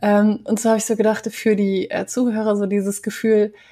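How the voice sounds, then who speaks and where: This woman's voice is fairly high-pitched and somewhat breathy. She talks at a moderate pace. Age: 30s. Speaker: podcast host and communication trainer. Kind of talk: interview conversation.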